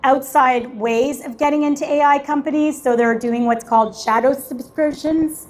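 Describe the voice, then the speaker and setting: A woman talks loudly at a high pitch, keeping a moderate pace and ordinary pitch variation. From Canada. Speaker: tech startup founder and event host. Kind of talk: panel discussion.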